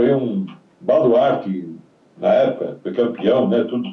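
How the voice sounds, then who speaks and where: A man's medium-pitched voice at a fairly slow pace, with very wide pitch swings and audible room echo. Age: 70s. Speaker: retired footballer. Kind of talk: interview.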